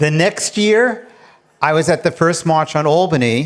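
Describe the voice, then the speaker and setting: Speaking in a New York accent, a man with a fairly high voice talks at a fairly slow pace. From New York City, Queens. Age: 70s. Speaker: retired attorney and professor, storyteller. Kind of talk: personal storytelling on stage. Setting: stage with large audience.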